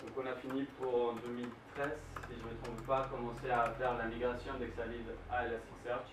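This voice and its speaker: Speaking with a Colombian accent at a fairly quick pace, a man at medium pitch keeps a monotone, flat intonation amid noticeable background noise and audible room echo. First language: Spanish (speaking French). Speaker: software developer. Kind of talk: conference talk. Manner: halting, many fillers.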